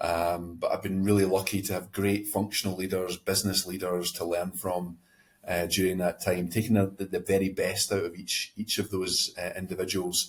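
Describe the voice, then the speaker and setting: Somewhat breathy and very deep, a man's voice moves at a moderate pace with monotone, flat intonation. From Scotland. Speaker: company president. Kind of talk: podcast interview. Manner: halting, many fillers and repeats.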